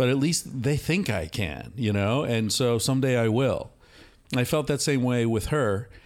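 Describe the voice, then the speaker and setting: In a very clean recording with a silent background, a man with a normal speaking voice talks at a moderate pace and medium pitch, with ordinary pitch variation and very even loudness. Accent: American. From United States. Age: 50s. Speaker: author and psychologist. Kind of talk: casual conversation. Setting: recorded at a retreat center in Costa Rica.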